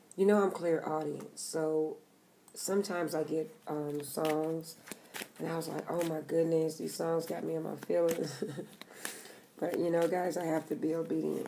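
Over light background noise comes an unremarkable speaking voice with fairly even intonation. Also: woman, fairly low pitch for a woman, moderate pace. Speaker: card reader. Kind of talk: casual tarot reading chat. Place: home room. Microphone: phone near.

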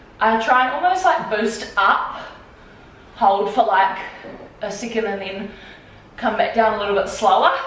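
A woman's voice at a moderate pace with ordinary pitch variation and audible room echo. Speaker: fitness creator. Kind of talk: workout tutorial. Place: home room. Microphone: camera far.

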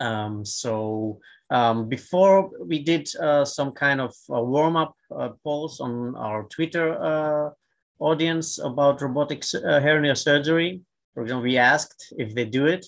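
A man speaks at a very slow pace. His fairly high voice has ordinary pitch variation. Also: quiet background. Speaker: surgeon, panel co-chair; panel co-chair. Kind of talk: moderated panel discussion. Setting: video call. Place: home room. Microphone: webcam.

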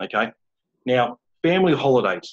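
Against a quiet background, a man speaks with an Australian accent and fairly even intonation. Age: 30s. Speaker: founder of a men's support group; interview guest. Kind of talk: interview. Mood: earnest, casual, anecdotal. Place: home room. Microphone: video call.

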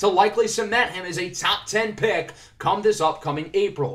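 Music plays in the background. Over it, a man speaks at a high pitch. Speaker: gaming youtuber. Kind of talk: gameplay commentary.

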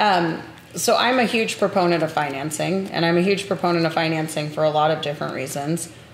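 A fairly low-pitched woman at a fairly quick pace, with ordinary pitch variation, very even loudness, audible room echo and light background noise. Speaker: podcast host. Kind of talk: casual interview. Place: home room.

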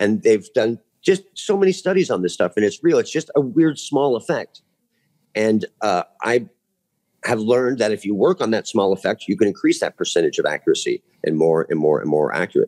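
Fairly quick speech from a man, the background quiet. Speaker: UFO researcher; podcast guest. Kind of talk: casual chat. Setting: video call. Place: home room. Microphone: video call.

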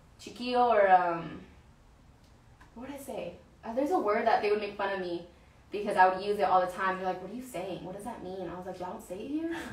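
In an American accent, a woman speaks at a fairly quick pace with a medium pitch and ordinary pitch variation, with audible room echo.

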